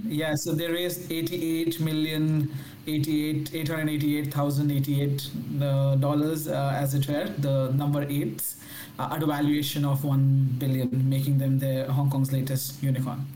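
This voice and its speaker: Amid audible room echo and noticeable background noise, a man with a fairly high pitch speaks very slowly in a monotone, flat intonation at a very even loudness. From India. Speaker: fintech entrepreneur. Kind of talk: interview.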